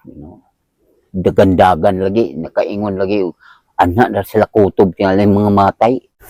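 A man with a dark, mellow tone speaks at a moderate pace, his loudness swinging widely. The recording is very clean with a silent background, the sound dry and close with no echo. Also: ordinary pitch variation. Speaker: house owner. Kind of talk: casual interview.

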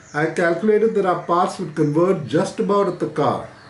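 A high-pitched male voice at a moderate pace, with ordinary pitch variation and audible room echo. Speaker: writer reading a favorite book passage. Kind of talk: literary audiobook reading, read aloud from a book. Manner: measured, storytelling pace, clear and conversational; casual, friendly, slightly hesitant with fillers in intro. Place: home room.

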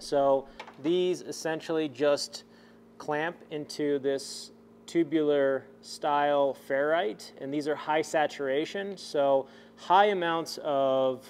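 A man speaking at a very slow pace, with ordinary pitch variation and light background noise. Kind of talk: tutorial. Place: garage.

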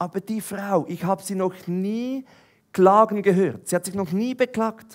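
Over a quiet background, a man with a Swiss accent speaks in an animated tone at a moderate pace. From eastern Switzerland. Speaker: preacher. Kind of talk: sermon. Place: stage. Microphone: headset.

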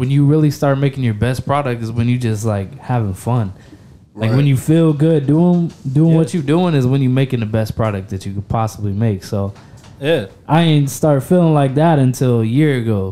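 Music plays in the background as a man talks at a fairly quick pace. His pitch variation is ordinary. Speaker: guest. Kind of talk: interview answer. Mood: relaxed, candid, profane. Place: home room. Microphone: studio mic.

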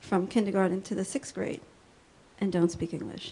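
Pitch variation stays ordinary throughout. The speaker is a woman at a medium pitch. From USA, Spanish-speaking family. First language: Spanish. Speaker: educator, public commenter. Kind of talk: public comment at school board meeting. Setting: public meeting in a school.

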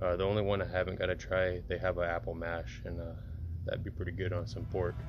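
Clear music plays behind a man's voice. He speaks very fast with ordinary pitch variation. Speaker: home cook reviewer. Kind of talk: casual tutorial vlog. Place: garden. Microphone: phone near.

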